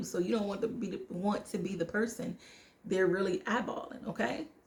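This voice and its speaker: An American-accented woman's fairly high voice, fairly quick and with lively intonation, over noticeable background noise. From United States. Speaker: travel vlogger. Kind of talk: casual vlog monologue. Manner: fast.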